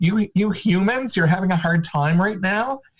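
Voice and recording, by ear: At a moderate pace, a man uses a put-on character voice with a high pitch.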